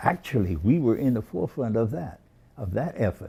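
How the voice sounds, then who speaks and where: Over a very clean recording with a silent background, a man with an American accent speaks in a dark, mellow tone with lively intonation. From Boston, Massachusetts. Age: 80s+. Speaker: civil rights movement veteran. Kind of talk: oral history interview. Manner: halting, many fillers and repetitions.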